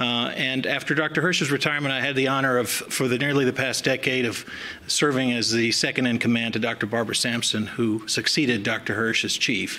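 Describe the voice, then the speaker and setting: A man's voice with an American accent, very even loudness and fairly even intonation, against noticeable background noise. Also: medium pitch for a man, fairly quick pace. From US South. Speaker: chief medical examiner. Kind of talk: public speech. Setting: podium at symposium. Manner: hesitant, many fillers.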